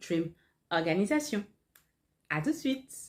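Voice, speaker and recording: A woman with a medium pitch speaks at a fairly slow pace, her dark, mellow, somewhat breathy voice making very wide pitch swings. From Martinique. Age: 30s. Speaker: life and organization coach. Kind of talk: tutorial.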